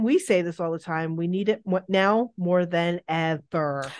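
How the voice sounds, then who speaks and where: Fairly slow speech from a woman at medium pitch, an ordinary speaking voice over a quiet background. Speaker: true crime podcast co-host. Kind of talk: casual true crime storytelling chat. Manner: giggly, playful.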